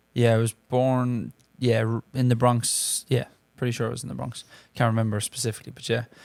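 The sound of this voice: With an Irish accent, a man talks at a fairly quick pace and medium pitch, his slightly mellow tone marked by vocal fry and little pitch movement.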